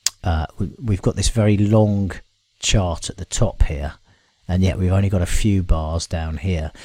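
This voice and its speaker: A man's very deep, low voice comes across with a dark, mellow tone and a somewhat breathy quality. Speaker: software tool presenter. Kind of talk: screen-share tutorial. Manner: hesitant, many fillers.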